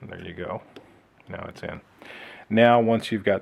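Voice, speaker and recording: A man with an American accent speaks in a relaxed tone. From Texas. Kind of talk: how-to tutorial narration. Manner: casual, relaxed.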